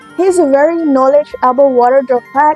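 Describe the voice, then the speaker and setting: With music playing behind, the speaker has an Indonesian accent and ordinary pitch variation. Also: woman. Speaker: former kindergarten teacher. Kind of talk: children's story reading.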